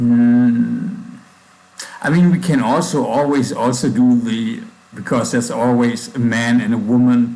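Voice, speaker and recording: Speaking in a strong German accent, a man talks at a fairly slow pace and medium pitch with ordinary pitch variation and very even loudness, with audible room echo and noticeable background noise. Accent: thick German. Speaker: programmer livestreamer. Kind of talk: coding livestream. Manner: halting, with pauses and fillers.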